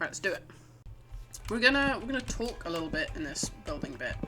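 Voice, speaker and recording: Over music in the background, a woman speaks in a high-pitched voice. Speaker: gaming youtuber. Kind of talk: gameplay commentary; voiceover.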